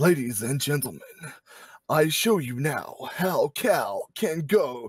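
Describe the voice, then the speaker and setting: At a fairly slow pace, this person puts on a character voice. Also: man, fairly high pitch for a man. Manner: dramatic, theatrical.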